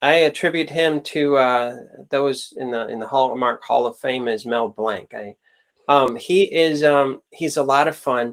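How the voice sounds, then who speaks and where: A man with a plain, everyday voice, fairly high in pitch, at a fairly slow pace with ordinary pitch variation. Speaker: podcast host. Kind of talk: podcast interview. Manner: upbeat.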